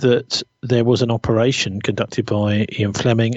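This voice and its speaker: Here a man talks at a moderate pace in a British accent, his pitch medium. His intonation is monotone and flat. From Britain. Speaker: journalist. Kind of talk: interview conversation.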